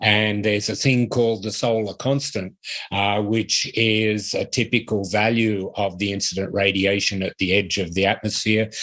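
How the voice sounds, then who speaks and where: A man's fairly low, flat, monotone voice in an Australian accent at a moderate pace. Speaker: university professor. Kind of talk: lecture. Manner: hesitant, with frequent fillers.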